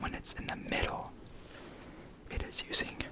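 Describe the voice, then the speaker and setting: Someone whispers over noticeable background noise. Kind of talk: ASMR educational talk, guitar lesson. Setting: close-mic ASMR recording with guitar sounds.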